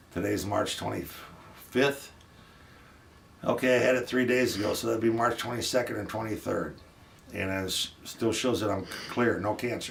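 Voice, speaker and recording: At a moderate pace and a medium pitch, a man talks with fairly even intonation and long, frequent pauses over noticeable background noise. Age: 60s. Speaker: lung cancer survivor. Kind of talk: personal story told to camera over photos. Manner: casual, hesitant.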